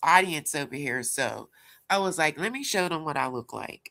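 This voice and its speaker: Heard on a very clean recording with a silent background, a woman with a Pittsburgh accent speaks at a moderate pace in a fairly low voice with a bright, sharp tone. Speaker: livestream commentator. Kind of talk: casual livestream chat.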